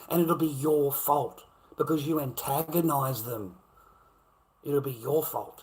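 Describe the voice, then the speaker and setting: A man with an Australian accent, fairly high-pitched and somewhat breathy, animated in tone, with ordinary pitch variation, a fairly slow pace and long, frequent pauses. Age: 50s. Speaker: livestreamer. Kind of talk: angry rant on a livestream. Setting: live stream. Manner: animated, heated.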